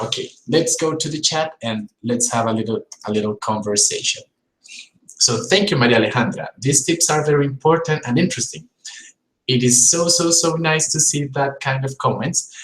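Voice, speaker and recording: Using a strong Colombian accent, a man with a fairly high pitch speaks at a moderate pace with ordinary pitch variation. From Colombia, Bogotá. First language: Spanish. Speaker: English teacher. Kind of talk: live-stream tutorial.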